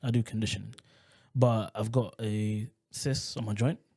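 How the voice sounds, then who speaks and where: A dark, mellow tone with ordinary pitch variation. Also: man. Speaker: podcast guest. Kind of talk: casual chat.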